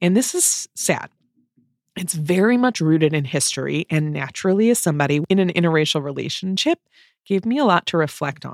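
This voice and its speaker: Fairly quick, lively speech in a dry, close sound with no echo, on a very clean recording with a silent background. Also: woman. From US Midwest. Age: 40s. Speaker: podcast host. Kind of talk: casual conversation.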